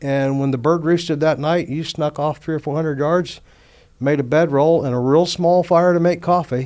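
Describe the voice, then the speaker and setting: Here a man talks at a moderate pace. He has a Louisiana accent and fairly even intonation. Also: fairly high pitch for a man. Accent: US Southern, Louisiana. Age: 60s. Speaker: outdoors organization executive. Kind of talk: casual chat.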